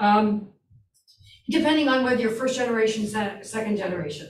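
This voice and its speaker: Somewhat breathy and fairly high-pitched, a woman speaks with ordinary pitch variation amid audible room echo. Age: old. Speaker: instructor. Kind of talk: lecture.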